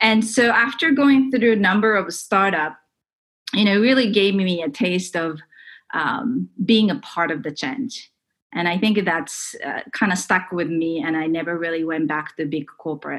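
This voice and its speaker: The speaker has a Japanese accent and lively intonation. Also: woman, medium pitch for a woman, moderate pace. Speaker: tech entrepreneur. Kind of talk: interview.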